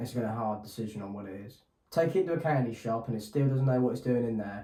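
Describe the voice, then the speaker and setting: A man with an English accent at a very fast pace, with audible room echo. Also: medium pitch for a man, ordinary pitch variation, big swings in loudness. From England. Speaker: podcast co-host. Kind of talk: casual chat.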